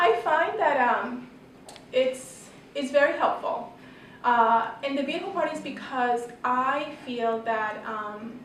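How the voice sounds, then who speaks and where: Speaking very slowly with long, frequent pauses, a woman uses a high pitch in a room with audible echo. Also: ordinary pitch variation. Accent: Spanish. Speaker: pharmacist and health educator. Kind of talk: panel presentation. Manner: halting, many fillers and repeats.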